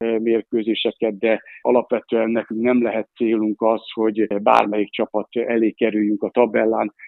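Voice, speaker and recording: A man speaks at medium pitch and a moderate pace. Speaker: handball coach. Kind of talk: radio interview.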